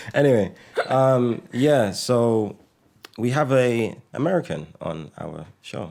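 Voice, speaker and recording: In a London accent, a man talks at a medium pitch. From Britain. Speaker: podcast host. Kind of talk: casual interview.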